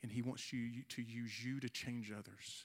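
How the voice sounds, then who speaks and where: Speaking at a fairly slow pace, a man with a medium pitch uses an ordinary speaking voice. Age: 40s. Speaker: youth pastor. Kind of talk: youth service sermon with altar call. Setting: church youth service with audience. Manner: earnest, urgent appeal, repeating phrases as he builds to the invitation.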